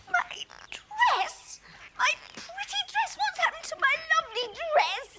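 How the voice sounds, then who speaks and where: A put-on character voice at an extremely high pitch goes at a fairly slow pace with long, frequent pauses. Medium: short film. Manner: haughty, affected, scornful.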